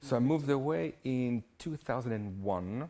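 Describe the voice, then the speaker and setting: In a French accent, a man speaks with a dark, mellow tone on a very clean recording with a silent background. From southern France. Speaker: hairdresser. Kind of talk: interview.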